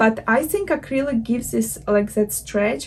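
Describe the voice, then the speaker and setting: Against noticeable background noise, a woman with a non-native accent and a fairly high pitch talks at a moderate pace with lively intonation. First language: not English. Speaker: knitting vlogger. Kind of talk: casual vlog talk. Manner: hesitant, with filler words.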